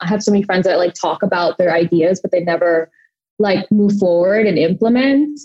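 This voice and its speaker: This woman has an ordinary speaking voice at a medium pitch. She talks at a moderate pace with ordinary pitch variation. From Thailand, moved to US at seven. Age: 20s. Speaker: beauty brand founder. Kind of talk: interview.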